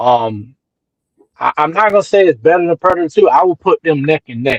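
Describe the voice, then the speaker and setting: Recorded dry and close with no echo, a man with an American accent and a fairly high pitch speaks at a moderate pace with ordinary pitch variation. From North Carolina. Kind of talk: casual chat. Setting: livestream.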